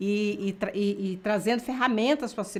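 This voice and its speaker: A woman talks at a moderate pace. Her fairly high pitch shows ordinary pitch variation. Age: 60s. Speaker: natural health educator. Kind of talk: health webinar interview. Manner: halting, many restarts.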